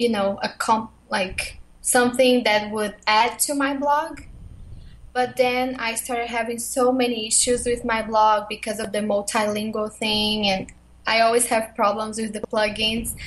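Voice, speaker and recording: Slow-paced and somewhat breathy, a woman speaks at a fairly high pitch with a Portuguese accent. Her intonation is flat and monotone. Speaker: blogger and YouTuber. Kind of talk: interview.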